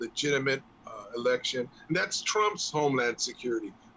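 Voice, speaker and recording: This man has a fairly high pitch and an American accent, talking at a moderate pace. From Los Angeles. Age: 60s. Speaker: sports talk co-host. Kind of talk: casual chat.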